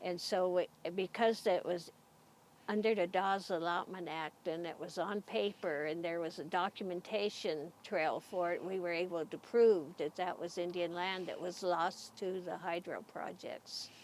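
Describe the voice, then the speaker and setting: Her fairly low pitch and fairly even intonation mark an unremarkable speaking voice as a woman talks at a moderate pace. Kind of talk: interview answer.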